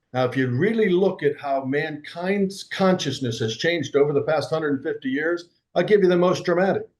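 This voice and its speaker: A man speaks at a fairly quick pace in an ordinary speaking voice, with ordinary pitch variation. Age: 60s. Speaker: entrepreneur and personal growth coach. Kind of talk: interview conversation.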